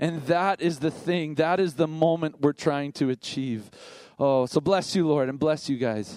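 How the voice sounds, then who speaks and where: In a very clean recording with a silent background, a man with an ordinary speaking voice and a fairly high pitch talks at a fairly slow pace with ordinary pitch variation. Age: 50s. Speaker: pastor. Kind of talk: sermon.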